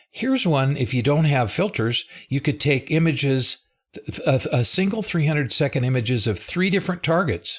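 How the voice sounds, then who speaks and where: Somewhat breathy, a man talks at a fairly quick pace while his pitch makes very wide swings. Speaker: software developer presenting a live webinar. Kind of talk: live tutorial webinar.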